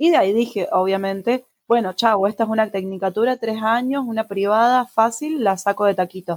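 A plain, everyday voice moves at a fairly quick pace with ordinary pitch variation. The loudness stays very even, and the sound is dry and close with no echo. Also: woman, fairly high pitch for a woman, hardly any pauses. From Argentina. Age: 20s. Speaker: podcast co-host. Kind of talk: casual chat.

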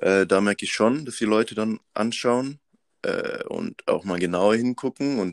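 A man with an unremarkable speaking voice talks at a moderate pace with a fairly low pitch. His pitch varies in an ordinary way, and the recording is very clean with a silent background. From Madagascar. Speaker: student activist. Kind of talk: casual interview.

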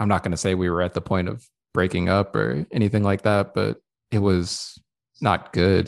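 Against a quiet background, a man with a very deep, low voice speaks at a moderate pace with ordinary pitch variation. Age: 30s. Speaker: podcast co-host. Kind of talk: casual chat.

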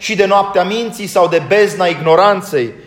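Against noticeable background noise and audible room echo, a man with a high voice speaks at a fairly slow pace with ordinary pitch variation. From Romania. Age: 40s. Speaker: Orthodox priest. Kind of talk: sermon.

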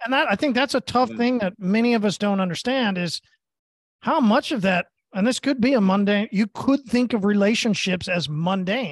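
This man talks at a moderate pace in an American accent, his pitch high and its variation ordinary. His loudness stays very even, and the sound is dry and close with no echo over a quiet background. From Oklahoma, US (Tulsa). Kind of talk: casual chat.

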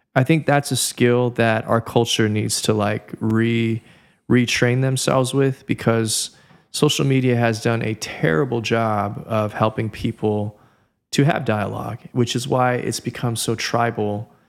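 In a Californian accent, a man talks at a medium pitch and a fairly slow pace. His intonation stays fairly even, and the recording is very clean with a silent background. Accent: Californian American English. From Southern California. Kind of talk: casual podcast interview.

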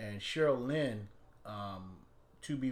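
A man with an American accent talks, and audible room echo follows his words. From Washington, D.C. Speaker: singer, go-go musician. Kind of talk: interview, telling stories about his career.

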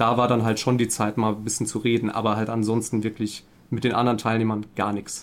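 A man with a medium pitch speaks at a fairly quick pace in a monotone, flat intonation. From Saarland, Germany. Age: 30s. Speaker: couples therapist and gaming streamer. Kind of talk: casual podcast interview.

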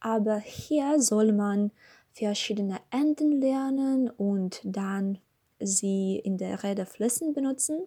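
Speaking at a very slow pace in a Russian accent, the voice has a dark, mellow tone and is somewhat breathy, with ordinary pitch variation. The recording is very clean, with a silent background. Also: woman, fairly high pitch for a woman. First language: Russian (speaking German). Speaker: language learner. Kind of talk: scripted monologue. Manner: halting.

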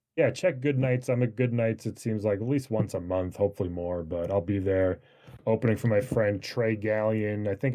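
A man with an American accent has an ordinary speaking voice, medium in pitch, with ordinary pitch variation and a moderate pace. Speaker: comedian. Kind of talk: casual chat.

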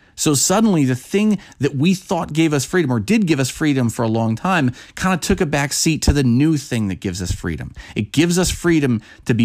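This recording is very clean, with a silent background. A man with a fairly high pitch talks at a moderate pace, his pitch swinging very widely. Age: 30s. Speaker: podcast host. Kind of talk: solo monologue. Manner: halting, many false starts.

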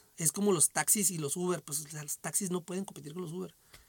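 His intonation stays fairly even. The man speaks at a fairly quick pace. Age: 40s. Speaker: podcast host. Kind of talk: casual solo monologue. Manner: hesitant, many repetitions and fillers. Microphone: echo on the microphone.

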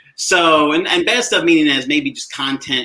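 A man with an American accent speaks in a bright, sharp tone at a fairly high pitch. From South Carolina. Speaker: digital learning coach. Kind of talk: tutorial.

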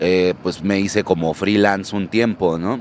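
Noticeable noise sits behind the speaker. He is a man talking fairly slowly. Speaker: rock bassist. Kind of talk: street interview.

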